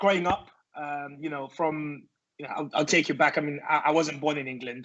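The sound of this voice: A man speaks at a fairly quick pace in a fairly high pitch, with a fairly bright tone and fairly even intonation.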